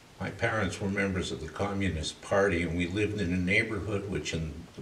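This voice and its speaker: This man's pitch is very deep and low. Noticeable background noise and audible room echo come through as he talks. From Canada, Toronto. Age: 60s. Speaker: arts curator and artist manager. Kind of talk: interview monologue, life story.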